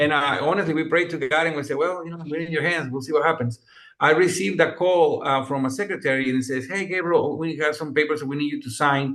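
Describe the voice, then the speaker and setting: Speaking in a Mexican accent, a man rushes along at a very fast pace and fairly high pitch, with hardly any pauses. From Mexico, Monterrey. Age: 50s. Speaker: music producer and composer. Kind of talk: interview. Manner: animated.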